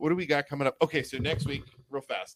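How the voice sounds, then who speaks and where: In an American accent, an ordinary speaking voice moves at a fairly quick pace with fairly even intonation and a dry, close sound with no echo. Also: man. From Youngstown area, Ohio. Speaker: podcast co-host. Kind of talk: casual chat. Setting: studio.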